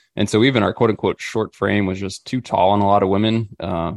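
A man with an ordinary speaking voice talks at a fairly quick pace with an American accent, his pitch fairly low and his intonation fairly even. The sound is dry and close with no echo, in a very clean recording with a silent background. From Missouri. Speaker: outdoor gear company staffer and hunting podcaster. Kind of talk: casual interview chat.

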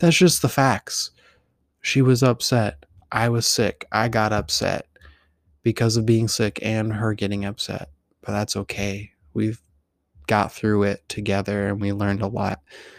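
In a very clean recording with a silent background, a man with a fairly low pitch speaks at a fairly slow pace with fairly even intonation and long, frequent pauses. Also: dry, close sound with no echo. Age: 30s. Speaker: podcast host. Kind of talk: personal storytelling monologue. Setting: home recording.

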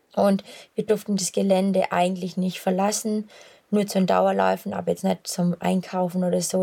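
A woman speaks with a Swabian accent at a moderate pace. Her medium-pitched voice has a dark, mellow tone. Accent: Swabian dialect, noticeable. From Swabia, Swabian Jura. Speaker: long-distance runner. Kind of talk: casual chat. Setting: outdoors, on a run.

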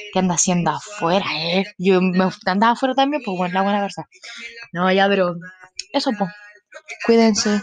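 The speaker has a Chilean accent and an animated tone, moving at a moderate pace with ordinary pitch variation. Long pauses come often. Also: woman, medium pitch for a woman. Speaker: podcaster. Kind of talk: casual monologue.

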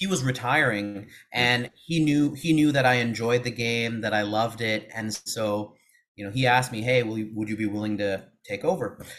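Moderate pace from a man with an American accent, medium pitch and ordinary pitch variation. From Seattle, US Pacific Northwest. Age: 30s. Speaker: former math teacher, education consultant. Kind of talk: interview.

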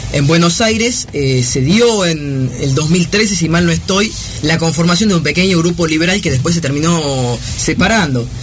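Here a man speaks with a high pitch, ordinary pitch variation and a moderate pace. There is audible room echo and noticeable background noise. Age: 20s. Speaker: law student and young political activist. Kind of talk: radio interview.

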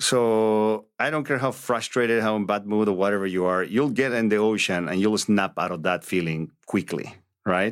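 A man with a Spanish accent speaks at a moderate pace and a fairly low pitch. His pitch varies in an ordinary way, on a very clean recording with a silent background. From Bolivia. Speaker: real estate agent. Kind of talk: interview.

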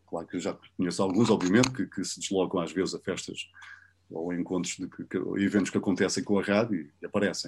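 A man's very deep, low voice at a very fast pace, on a very clean recording with a silent background. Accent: European Portuguese. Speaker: radio host. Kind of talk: interview. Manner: animated; casual.

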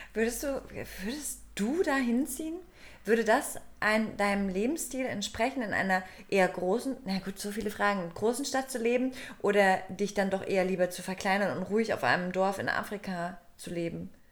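A woman with an unremarkable speaking voice, medium pitch, lively intonation and a moderate pace. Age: 30s. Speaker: podcast co-host. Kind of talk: casual chat. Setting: studio.

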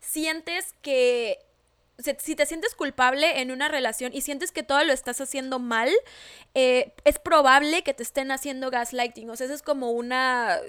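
A woman with a high pitch speaks at a moderate pace with ordinary pitch variation on a very clean recording with a silent background. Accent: Mexican. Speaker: podcast co-host. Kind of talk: casual chat.

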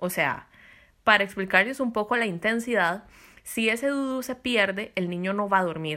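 On a very clean recording with a silent background, a woman talks at a moderate pace with a medium pitch and ordinary pitch variation. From Costa Rica. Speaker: podcast host. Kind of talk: casual chat.

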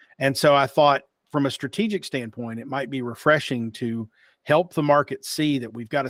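A man with a slight Appalachian accent speaks at a medium pitch and moderate pace. His pitch variation is ordinary, and the sound is dry and close with no echo. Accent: slight Appalachian twang. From Eastern Kentucky / West Virginia (Appalachia). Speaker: marketing executive and podcast host. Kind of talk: interview.

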